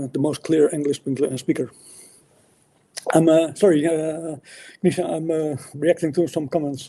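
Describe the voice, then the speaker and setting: The tone is dark and mellow, broken by long, frequent pauses. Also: man, fairly high pitch for a man, fairly even intonation, moderate pace. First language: not English. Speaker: atheist debater. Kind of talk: debate. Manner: halting, many fillers and restarts.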